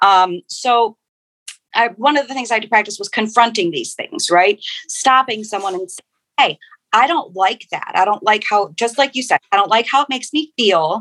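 A woman's fairly high, animated voice with lively intonation over music in the background. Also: moderate pace, big swings in loudness. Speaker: technical writer and novelist. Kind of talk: panel discussion.

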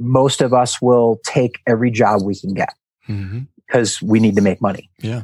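A man talks at a moderate pace in a normal speaking voice, with medium pitch and fairly even intonation. The sound is dry and close, with no echo. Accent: American. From US Midwest, Milwaukee, Wisconsin. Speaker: team-building trainer and author. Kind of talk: casual interview.

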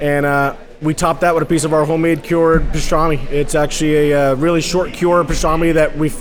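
Over noticeable background noise, a man with an American accent speaks at a fairly quick pace and a fairly high pitch. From Hudson Valley, New York. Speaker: barbecue pitmaster. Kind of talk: interview. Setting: live outdoor food event.

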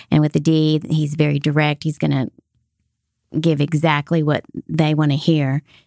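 A woman with a very deep, low, dark and mellow voice speaks in a monotone, flat way at very even loudness, with long, frequent pauses. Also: moderate pace, dry, close sound with no echo. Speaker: sales podcast co-host. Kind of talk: casual chat.

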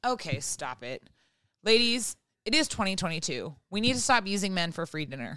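A woman's medium-pitched voice with vocal fry and a bright, sharp tone, very wide pitch swings, big swings in loudness and a moderate pace, in a very clean recording with a silent background. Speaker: podcast co-host and writer. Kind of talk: casual chat. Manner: comedic delivery, like stand-up.

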